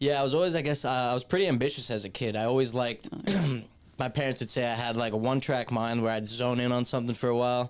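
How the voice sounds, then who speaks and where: With a New York accent, a man talks at a very fast pace and medium pitch, keeping his intonation fairly even and his loudness very even. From New York City, Staten Island. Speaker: actor. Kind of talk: casual chat.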